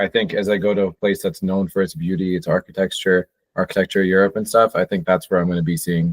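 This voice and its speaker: A man with a New Jersey accent speaks at a fairly quick pace in a fairly low pitch. The sound is dry and close, with no echo. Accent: American English (New Jersey). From New Jersey, US. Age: 20s. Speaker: podcast host. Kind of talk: casual chat.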